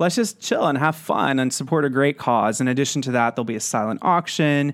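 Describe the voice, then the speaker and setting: A man with an American accent has a plain, everyday voice and a fairly high pitch. He speaks at a moderate pace in a very clean recording with a silent background. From West Texas (San Angelo). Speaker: marketing director. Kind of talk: casual interview.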